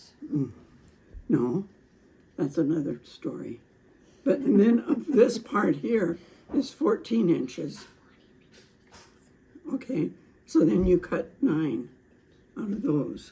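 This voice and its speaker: Very slow and full of long, frequent pauses, a woman's fairly low voice carries vocal fry and very wide pitch swings. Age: 80s+. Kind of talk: craft instruction demo.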